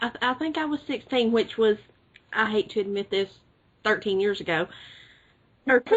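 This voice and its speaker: A woman with an Alabama accent and lively intonation. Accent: Southern US (Alabama). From US South, rural Alabama. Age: 20s. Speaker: podcast co-host. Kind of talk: casual chat.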